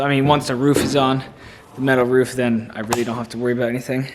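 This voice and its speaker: A man with an American accent talks very fast in a flat monotone. His pitch is medium, and noticeable background noise is heard. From New Jersey. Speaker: homesteader vlogger. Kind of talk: casual vlog narration.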